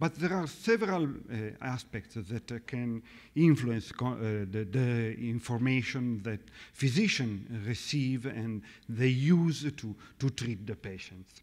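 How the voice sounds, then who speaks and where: Against a quiet background, a man speaks very slowly at a medium pitch with ordinary pitch variation. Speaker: cardiologist; conference lecturer. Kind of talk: lecture. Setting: stage with audience. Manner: halting. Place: hall. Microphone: podium.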